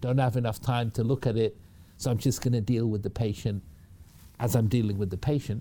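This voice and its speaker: A man's medium-pitched, dark, mellow voice with a British accent at a fairly quick pace. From northern England (Manchester). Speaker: hospital technology executive and physician. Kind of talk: interview.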